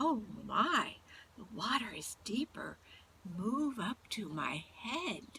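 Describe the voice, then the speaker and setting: A woman puts on a character voice, speaking at a very slow pace with a fairly high pitch. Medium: read story. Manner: crooning, sly.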